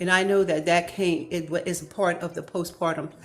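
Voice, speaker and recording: Over noticeable background noise, a woman talks at a moderate pace in a fairly low voice with monotone, flat intonation. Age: 60s. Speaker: apostle. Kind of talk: testimony.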